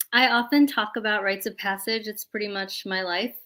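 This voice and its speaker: This is a plain, everyday voice with an American accent. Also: woman. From South India (Kerala), moved to US at four and a half. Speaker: community organizer, project leader. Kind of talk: online event presentation. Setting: livestreamed video call.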